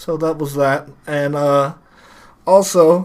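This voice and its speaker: A man is talking. He mumbles his words. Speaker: podcast co-host. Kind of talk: casual chat. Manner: mumbling.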